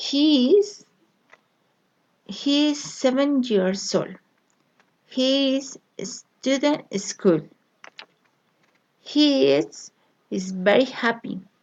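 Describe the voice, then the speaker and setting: A woman with a Colombian accent speaks at a high pitch with very wide pitch swings. Her pace is very slow, with long, frequent pauses. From Colombia, Bogotá. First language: Spanish. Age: 30s. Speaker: language learner. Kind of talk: reading aloud. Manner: halting.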